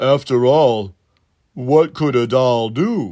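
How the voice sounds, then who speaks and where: In a put-on character voice, a man speaks at a medium pitch and a very slow pace. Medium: read story. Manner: wary.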